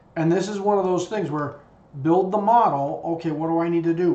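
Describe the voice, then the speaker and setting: Fairly high pitch for a man, with ordinary pitch variation, a moderate pace and audible room echo. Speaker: CAD design instructor. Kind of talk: tutorial.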